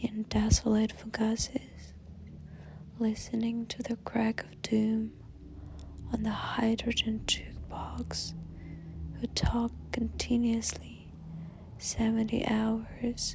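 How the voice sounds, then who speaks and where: A soft-spoken woman whispers at a very slow pace, with long, frequent pauses, amid noticeable background noise. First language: Russian. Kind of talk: ASMR poetry reading. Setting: ambient music background, hand sounds. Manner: soft-spoken, whispery.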